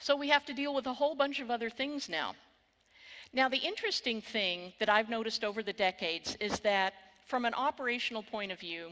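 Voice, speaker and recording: A woman with a Texan accent talks at a fairly quick pace in a bright, sharp tone with lively intonation. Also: fairly high pitch for a woman. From Texas. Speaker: cybersecurity keynote speaker. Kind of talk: conference keynote. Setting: stage with audience.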